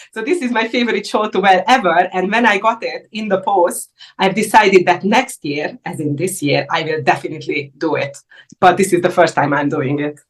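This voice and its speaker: Speaking at a fairly quick pace with lively intonation, a woman with a medium-pitched voice talks in a Hungarian accent. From Hungary. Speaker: indie yarn dyer. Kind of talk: casual interview. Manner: halting.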